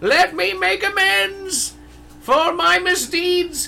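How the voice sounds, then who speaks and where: Someone speaks in a put-on character voice over clear background noise. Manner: annoying.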